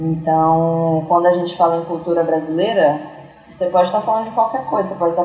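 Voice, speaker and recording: A woman with a fairly low pitch is heard amid audible room echo and noticeable background noise. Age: 20s. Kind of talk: casual interview conversation.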